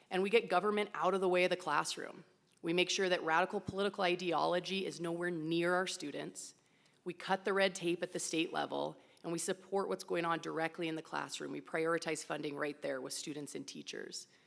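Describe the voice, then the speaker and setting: A woman's fairly low voice with vocal fry, fairly even intonation and a fairly quick pace. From Wyoming. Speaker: political candidate. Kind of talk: campaign speech. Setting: public forum with audience.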